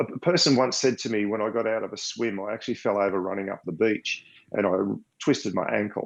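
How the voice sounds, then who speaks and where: Over a quiet background, a man with an Australian accent speaks fairly quickly at a fairly low pitch. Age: 60s. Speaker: blind triathlete. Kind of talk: interview.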